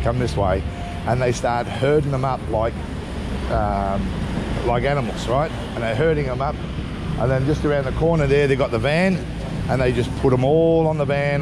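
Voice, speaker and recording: Speech moves at a moderate pace with long, frequent pauses. Loud background noise is present. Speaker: travel vlogger. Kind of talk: casual vlog chat. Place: street. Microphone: phone near.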